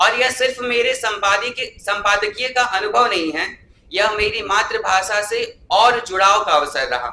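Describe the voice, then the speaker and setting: The voice is raised and projected, with a bright, sharp tone. Its pitch variation is ordinary. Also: man, high pitch for a man. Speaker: student, chief magazine editor. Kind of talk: formal speech at event. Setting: stage with audience. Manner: formal.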